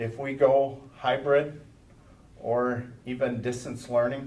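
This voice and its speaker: Audible room echo surrounds the voice. A man talks over noticeable background noise. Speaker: school superintendent. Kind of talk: board meeting report.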